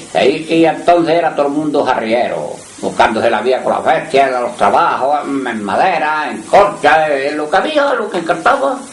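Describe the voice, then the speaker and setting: Noticeable background noise and audible room echo fill this recording. A man talks at a moderate pace with lively intonation and a fairly high pitch. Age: 80s+. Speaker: retired muleteer. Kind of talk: oral history interview.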